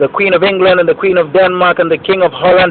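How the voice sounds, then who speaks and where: A man with a high pitch speaks against noticeable background noise. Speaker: video blogger and musician. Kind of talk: casual vlog monologue. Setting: outdoors on a rooftop. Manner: fast; animated.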